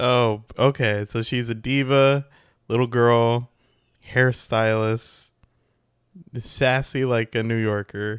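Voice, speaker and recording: A loud man shouts at a very slow pace, with long, frequent pauses and monotone, flat intonation. The sound is dry and close with no echo, on a very clean recording with a silent background. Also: medium pitch for a man. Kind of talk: casual chat. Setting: home recording, party noise in background. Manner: loud, often yelling.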